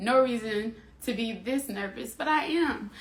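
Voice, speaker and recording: Audible room echo around a woman's fairly high voice. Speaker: live stream host. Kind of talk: casual live stream talk. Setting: Instagram live stream.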